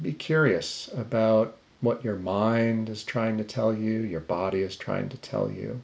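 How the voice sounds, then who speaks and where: A man speaks in a normal speaking voice of medium pitch, with ordinary pitch variation. His pace is fairly slow, with hardly any pauses. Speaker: meditation teacher. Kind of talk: guided meditation. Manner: slow, calm, soft-spoken, with long pauses; gentle, invitational.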